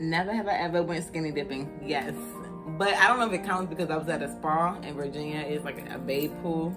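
With clear music in the background, a woman with a very deep, low pitch talks at a fairly quick pace and ordinary pitch variation. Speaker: vlogger. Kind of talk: casual vlog chat. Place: home room. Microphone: phone near.

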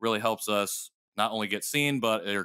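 Captured on a very clean recording with a silent background, a man speaks at a moderate pace in a bright, sharp tone. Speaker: podcast host. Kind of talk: casual chat. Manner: playful.

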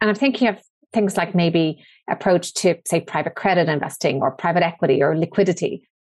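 In a plain, everyday voice, a woman talks fairly quickly, her pitch varying in an ordinary way and her loudness staying very even. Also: fairly low pitch for a woman. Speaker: podcast host. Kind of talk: interview.

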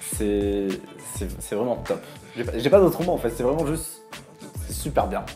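Clear music plays in the background as a man talks with long, frequent pauses. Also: moderate pace. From Bordeaux, France. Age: 20s. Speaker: TV series reviewer YouTuber. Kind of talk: casual talk to camera. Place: home room.

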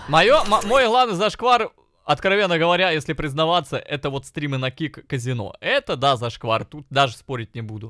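A man's voice leaps through very wide swings in pitch, recorded dry and close with no echo. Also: moderate pace. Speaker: streamer. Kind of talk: casual stream reaction commentary. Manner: profane, animated.

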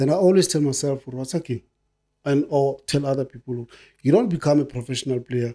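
A man's fairly high, dark, mellow voice, fairly quick, ordinary pitch variation, quiet background. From South Africa, Soweto; South Africa. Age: 50s. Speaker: retired footballer; guest. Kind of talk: casual chat. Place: studio. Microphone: studio mic.

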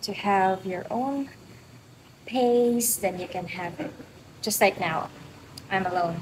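With noticeable background noise, a woman speaks at a very slow pace and with ordinary pitch variation. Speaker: fitness vlogger. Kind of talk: casual vlog chat. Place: gym. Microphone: phone near.

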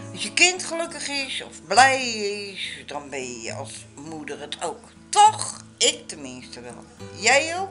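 Over faint background music, a woman speaks at a very slow pace with big swings in loudness. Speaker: vlogger. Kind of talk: casual vlog chat. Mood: warm, happy, proud. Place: kitchen.

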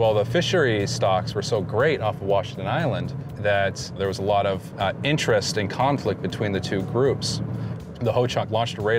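Music plays in the background as a man talks at a moderate pace. The sound is dry, with no echo. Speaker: guest. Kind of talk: interview answer. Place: car.

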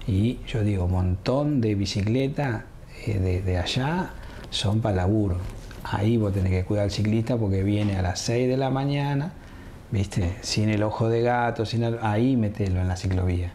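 Moderate-paced speech with ordinary pitch variation, very even loudness and light background noise. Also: man, fairly low pitch for a man. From Argentina, Viedma (Río Negro), born Buenos Aires; Argentina. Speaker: mayoral candidate; candidate. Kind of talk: interview. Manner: casual, colloquial. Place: studio.

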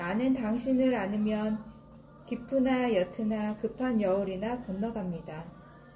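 This woman talks at a very slow pace with a fairly high pitch. Noticeable background noise sits behind her. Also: ordinary pitch variation. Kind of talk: poetry reading.

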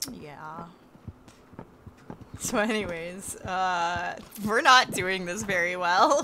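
Speaking very slowly, a woman leaves long, frequent pauses, and her loudness swings widely. Her tone is bright and sharp, her pitch medium with ordinary variation, and audible room echo surrounds her. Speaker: gaming streamer. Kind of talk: live gameplay streaming. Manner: loud screaming.

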